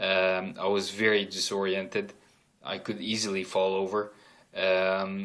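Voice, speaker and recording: At a fairly slow pace, a man speaks in a monotone, flat intonation. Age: 30s. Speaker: stroke survivor video diarist. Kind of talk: personal video diary. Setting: at home in his room, camera on carpet. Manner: halting, many fillers.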